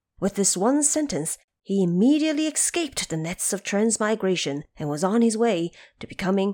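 A woman's medium-pitched voice, dark and mellow in tone, at a moderate pace

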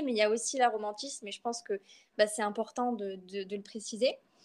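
A fairly high-pitched woman keeps her intonation fairly even while speaking at a moderate speed. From France, Bordeaux. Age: 20s. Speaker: literature student and poet. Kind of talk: personal testimony interview. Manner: hesitant, many fillers and repetitions.

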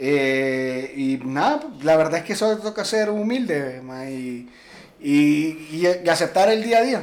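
Very slow speech with very wide pitch swings, over noticeable background noise. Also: man, fairly high pitch for a man. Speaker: podcast co-host. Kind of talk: casual chat.

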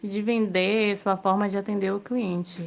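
A woman's voice at medium pitch. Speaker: student interviewer. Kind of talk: interview.

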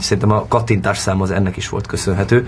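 There is noticeable background noise as a man speaks at a very fast pace. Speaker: actor. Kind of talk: interview.

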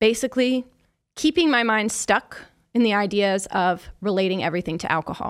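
A woman with an American accent talks at a moderate pace and a fairly high pitch. Her pitch varies in an ordinary way, and the recording is very clean with a silent background. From Kansas City, US Midwest. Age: 30s. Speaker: sobriety coach and podcast host. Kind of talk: solo podcast monologue. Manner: animated.

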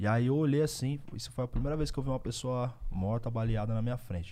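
A dark, mellow voice moves at a very fast pace with ordinary pitch variation. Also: man. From Osasco and Bauru, São Paulo state, Brazil. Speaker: rapper. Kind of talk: casual chat.

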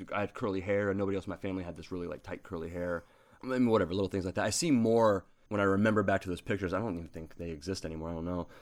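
Delivered at a very fast pace with fairly even intonation, the speech comes through in a very clean recording with a silent background. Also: man, very deep, low pitch for a man. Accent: American. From southern Ohio, small town. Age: 30s. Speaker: philosophy graduate student. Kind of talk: casual chat. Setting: home.

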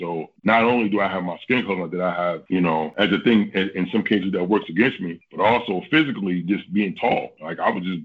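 A man talks at a fairly quick pace with few pauses, his low voice carrying a slightly husky edge. His pitch varies in an ordinary way.

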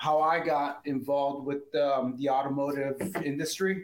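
The man has an ordinary speaking voice, pitched fairly high. He talks at a fairly slow pace. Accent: American. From Southern California. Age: 50s. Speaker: auto detailing business owner. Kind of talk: interview.

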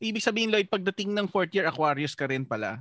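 Very wide pitch swings and a bright, sharp tone, in a dry, close sound with no echo. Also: man. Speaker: podcast host. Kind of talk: casual chat.

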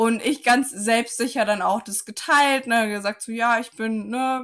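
A woman speaks at a fairly slow pace and fairly high pitch with fairly even intonation, in an unremarkable speaking voice. The recording is very clean, with a silent background. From Saarland, Germany. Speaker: physiotherapist and life coach. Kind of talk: casual interview chat.

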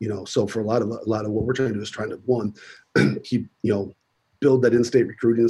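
A man with an American accent speaks in a medium pitch with monotone, flat intonation and a somewhat breathy, dark, mellow tone. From US Midwest, South Dakota. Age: 40s. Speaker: college football strength coach. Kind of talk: casual interview.

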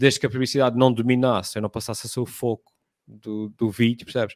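In a very clean recording with a silent background and a dry, close sound with no echo, a man talks at a very fast pace in a monotone, flat intonation. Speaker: content creator. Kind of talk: casual chat.

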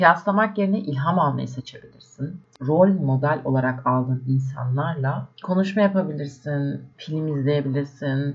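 This woman's voice is very deep and low in pitch. She talks at a moderate pace against noticeable background noise. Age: 20s. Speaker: podcaster. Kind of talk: solo reflective monologue. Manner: casual, conversational.

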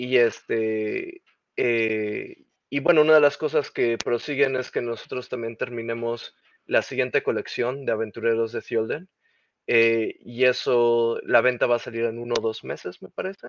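The delivery is fairly slow, with fairly even intonation. It is a plain, everyday voice. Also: man, medium pitch for a man. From Mexico. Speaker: game creative director. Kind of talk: interview.

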